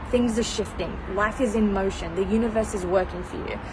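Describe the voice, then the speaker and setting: Amid noticeable background noise and audible room echo, a woman speaks fairly quickly in an animated tone, her fairly high pitch varying in an ordinary way. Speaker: mindset coach. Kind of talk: live stream motivational talk. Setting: outdoors on balcony. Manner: fast.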